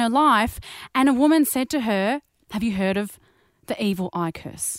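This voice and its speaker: A woman with an Australian accent and lively intonation. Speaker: podcast co-host. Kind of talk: casual chat.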